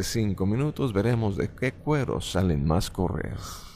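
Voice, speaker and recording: A man with an unremarkable speaking voice talks at a fairly low pitch with lively intonation. The recording is very clean, with a silent background. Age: 30s. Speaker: stage hypnotist. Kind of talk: interview. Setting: theater backstage. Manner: formal.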